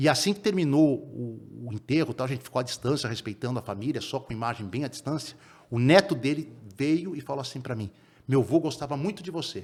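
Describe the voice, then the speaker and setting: Lively, somewhat breathy speech in a very clean recording with a silent background. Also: man, fairly high pitch for a man, fairly quick pace. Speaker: sports reporter. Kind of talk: podcast interview. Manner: fast.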